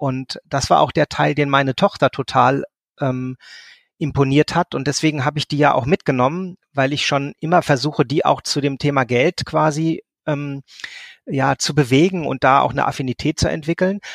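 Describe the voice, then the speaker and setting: In a very clean recording with a silent background and a dry, close sound with no echo, a man with an ordinary speaking voice talks at a moderate pace, with a fairly high pitch and fairly even intonation. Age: 50s. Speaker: social services team leader and coach. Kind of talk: interview.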